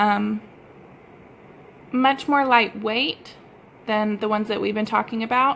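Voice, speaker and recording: Speaking in a strong Texas accent, a woman uses a fairly high pitch and fairly even intonation, with long, frequent pauses. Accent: thick Texas. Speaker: sewing pattern designer. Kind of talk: tutorial. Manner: casual, with many fillers.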